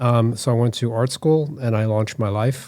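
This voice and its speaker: With an American accent, a man talks at a moderate pace in a dark, mellow tone. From US Northeast, Boston area (Newton, Massachusetts). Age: 60s. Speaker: artist and designer. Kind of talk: interview.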